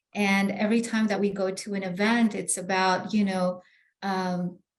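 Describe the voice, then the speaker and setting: With a Spanish accent, a woman speaks at a moderate pace in a medium, somewhat breathy voice with monotone, flat intonation. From Bolivia, then New York. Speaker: real estate agent. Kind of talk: interview. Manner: halting, many fillers.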